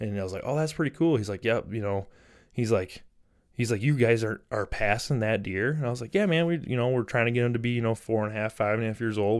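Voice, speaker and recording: On a very clean recording with a silent background, a man with an American accent talks fairly quickly at a medium pitch in an unremarkable speaking voice. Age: 30s. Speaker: hunting podcast host. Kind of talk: solo podcast monologue. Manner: casual, filler-heavy.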